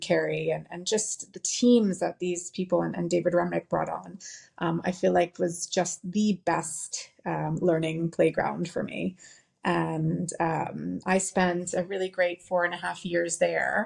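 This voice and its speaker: A woman with an American accent, talking at a fairly slow pace. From US, New York City. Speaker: company founder. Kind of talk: interview.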